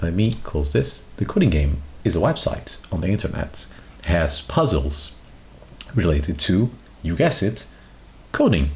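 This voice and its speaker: Soft-spoken and very deep, a man talks at a moderate pace with very wide pitch swings and long, frequent pauses. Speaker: vtuber streamer. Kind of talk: live stream chat.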